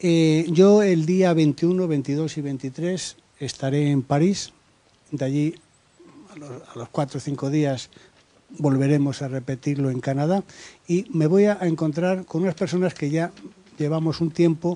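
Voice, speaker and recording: Long, frequent pauses in a man's fairly slow delivery, fairly high in pitch with ordinary pitch variation. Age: 60s. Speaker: human rights activist, audience member. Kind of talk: round-table discussion, audience intervention. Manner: hesitant, with fillers.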